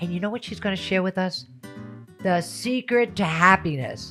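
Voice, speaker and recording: Music plays behind a woman as she speaks. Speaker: podcast host. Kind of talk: podcast intro.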